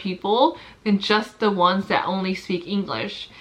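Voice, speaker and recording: Her tone is bright and sharp. The woman speaks at a fairly slow pace. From US, Mexican-American family. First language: Spanish. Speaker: nurse vlogger. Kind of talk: casual vlog talk. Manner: sometimes jumbled words, hesitant.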